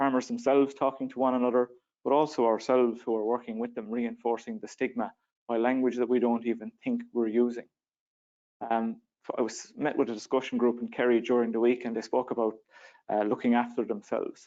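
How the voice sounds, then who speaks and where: An Irish accent from a man, fairly quick in pace and monotone with flat intonation. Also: medium pitch for a man. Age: 30s. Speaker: young farmer and panellist. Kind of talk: panel discussion. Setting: conference stage with audience.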